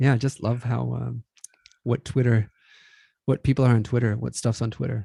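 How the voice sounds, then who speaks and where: A man with a somewhat breathy, dark, mellow tone at medium pitch, monotone, flat intonation, a moderate pace and long, frequent pauses, in a dry, close sound with no echo. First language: not English. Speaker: podcast co-host. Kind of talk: casual chat.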